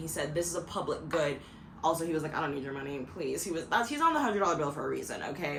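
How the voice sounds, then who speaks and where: A woman with a fairly low pitch and an animated tone at a very fast pace, with audible room echo and noticeable background noise. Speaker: video podcaster. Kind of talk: casual monologue.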